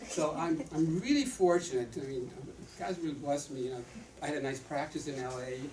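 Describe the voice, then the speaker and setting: A man rattles along at a very fast pace amid noticeable background noise and audible room echo. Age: 70s. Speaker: retired doctor and author endorsing supplements. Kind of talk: product presentation to audience. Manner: animated.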